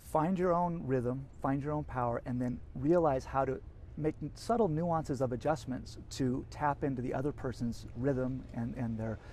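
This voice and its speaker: A man's dark, mellow-toned voice with hardly any pauses. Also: medium pitch for a man, ordinary pitch variation. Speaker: seminar attendee giving testimonial. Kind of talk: testimonial interview. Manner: fast; animated.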